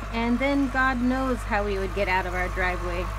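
A woman is speaking. There is light noise in the background. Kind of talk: casual narration. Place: open country. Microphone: phone near.

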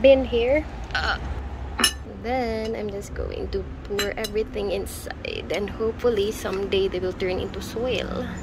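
A woman speaks at a fairly slow pace. The sound is dry with no echo, but there is noticeable background noise. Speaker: home vlogger. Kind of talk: casual vlog chat. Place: home room. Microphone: phone near.

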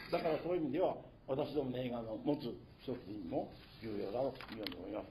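A man's somewhat breathy voice, dark and mellow in tone, at a fairly quick pace. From Nagano, Japan. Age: 80s+. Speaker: author and labour educator. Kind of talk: public lecture.

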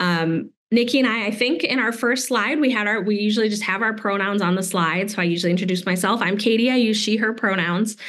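A woman talks at a very fast pace with hardly any pauses, in an American accent. Her pitch is fairly high with ordinary variation, and her loudness stays very even. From US Midwest. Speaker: science educator. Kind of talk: workshop presentation. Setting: video call.

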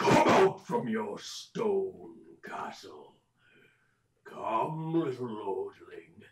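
Using a put-on character voice, a man goes very slowly with long, frequent pauses. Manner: taunting, menacing.

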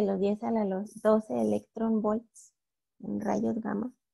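A woman with a northern Mexican accent, monotone, flat intonation and a very slow pace. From northern Mexico, Torreón, Coahuila. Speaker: astronomy student lecturer. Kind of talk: lecture. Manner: hesitant, many fillers.

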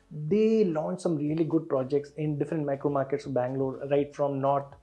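A man's moderate pace is accompanied by faint music in the background. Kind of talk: explanatory commentary to camera. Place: office. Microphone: lapel.

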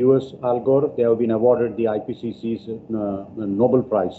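Against light background noise, a man speaks with ordinary pitch variation. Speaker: host introducing a guest speaker. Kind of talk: formal introduction. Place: classroom.

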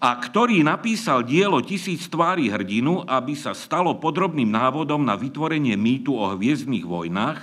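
A man's voice with vocal fry and hardly any pauses. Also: moderate pace. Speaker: conference speaker. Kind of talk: lecture. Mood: dry mock-serious humour. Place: stage. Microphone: podium.

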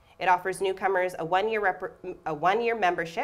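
A woman talks at a moderate pace. The pitch of her voice shifts in an ordinary way. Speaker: theatre associate artistic director and moderator. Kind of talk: moderated panel talk. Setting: stage with live audience. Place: stage.

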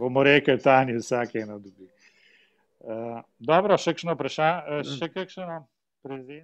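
The man's voice sits at a fairly high pitch with ordinary pitch variation. He keeps a moderate pace, with big swings in loudness. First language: Slovenian. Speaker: club president hosting meeting. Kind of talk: casual chat. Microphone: video call.

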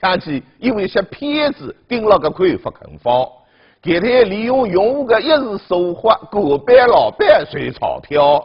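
Over a quiet background, a man with a Zhejiang accent and a high voice speaks at a fairly slow pace, his loudness swinging widely. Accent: Taizhou dialect. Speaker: TV news presenter. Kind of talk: TV news presenting. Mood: warning, earnest. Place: studio.

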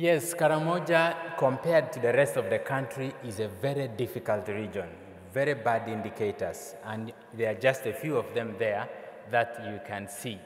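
At a moderate pace, a man speaks with lively intonation while audible room echo fills the recording. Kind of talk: conference talk. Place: hall. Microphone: podium.

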